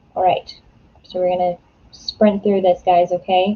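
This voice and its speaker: A woman talks fairly quickly, her voice somewhat breathy. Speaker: writer livestreaming writing sprints. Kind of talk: casual livestream chat. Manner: animated.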